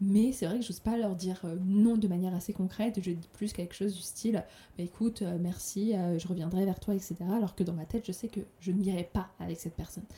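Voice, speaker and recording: Somewhat breathy and dark, mellow in tone, a woman talks at a fairly quick pace with fairly even intonation. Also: medium pitch for a woman. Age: 30s. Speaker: podcaster. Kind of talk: personal monologue.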